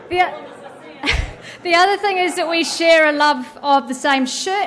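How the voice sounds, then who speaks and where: A woman is talking, and noticeable background noise can be heard behind her. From New Zealand. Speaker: event organiser introducing moderator. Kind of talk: formal introduction speech.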